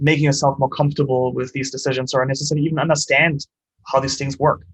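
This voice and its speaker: A man with a German accent, fairly high pitch, a somewhat breathy sound and a very fast pace. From Germany. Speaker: startup co-founder and CEO. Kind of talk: interview.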